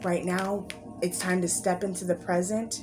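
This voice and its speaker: A woman's medium-pitched voice at a moderate pace, with music in the background and audible room echo. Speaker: tarot card reader. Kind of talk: pick-a-card spiritual reading.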